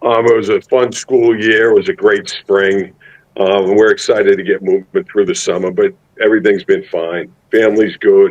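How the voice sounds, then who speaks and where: A man with a Massachusetts accent is heard in a dry, close sound with no echo. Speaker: high school football head coach. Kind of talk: interview. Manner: halting with many repeated words.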